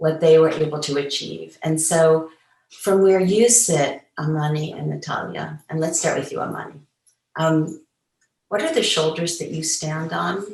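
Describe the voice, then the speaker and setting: A woman's very deep, low voice at a fairly slow pace, with ordinary pitch variation and audible room echo. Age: 70s. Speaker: feminist activist, moderator. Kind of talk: panel discussion. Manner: hesitant fillers.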